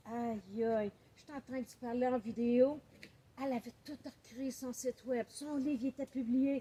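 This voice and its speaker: Her voice is high-pitched. This woman speaks in a Quebec accent. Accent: Québécois French. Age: 60s. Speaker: author and book coach. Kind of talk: welcome speech. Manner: animated.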